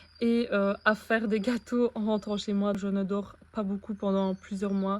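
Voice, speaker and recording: The voice belongs to a woman. It sits at a medium pitch for her. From Belgium. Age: 20s. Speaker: vlogger, dietitian. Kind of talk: vlog introduction.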